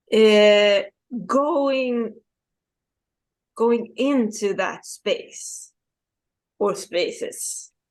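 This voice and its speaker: Very slowly and with long, frequent pauses, a woman speaks with a non-native accent. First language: not English. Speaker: video series host. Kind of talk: casual chat. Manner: halting, many repetitions.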